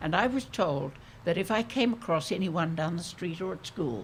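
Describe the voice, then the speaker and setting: Speaking at a moderate pace, a woman uses a very deep, low pitch with very wide pitch swings and a somewhat breathy sound. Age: 80s+. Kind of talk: public conversation.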